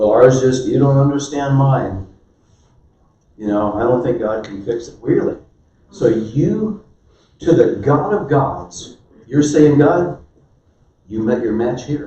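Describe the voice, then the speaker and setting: Long, frequent pauses break up a man's very slow, somewhat breathy speech, his fairly high voice showing lively intonation against audible room echo. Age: 70s. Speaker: marriage workshop speaker. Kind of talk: sermon-style marriage talk.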